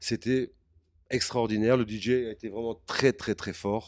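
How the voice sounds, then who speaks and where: A man speaks at a moderate pace in a dry, close sound with no echo, on a very clean recording with a silent background. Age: 60s. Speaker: music producer. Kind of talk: interview. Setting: backstage at an event. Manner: halting.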